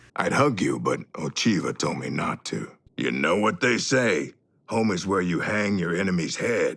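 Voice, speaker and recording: Using a put-on character voice, a man sounds raspy and fairly low-pitched while keeping a moderate pace. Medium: video game. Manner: brash, gleeful.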